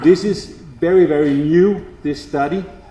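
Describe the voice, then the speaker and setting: Amid noticeable background noise and audible room echo, a man talks with a non-native accent. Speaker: agricultural seed company specialist. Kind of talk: presentation to farmers.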